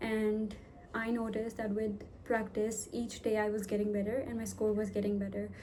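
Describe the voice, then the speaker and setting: A woman with a fairly high pitch talks at a moderate pace, and room echo is audible. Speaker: vlogger. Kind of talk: tutorial. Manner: hesitant, filler words.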